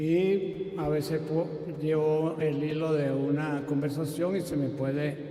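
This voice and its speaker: A man with a fairly high pitch at a very slow pace, amid noticeable background noise and audible room echo. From Venezuela, Caracas. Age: 70s. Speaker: evangelical pastor. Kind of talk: public debate. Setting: stage with audience.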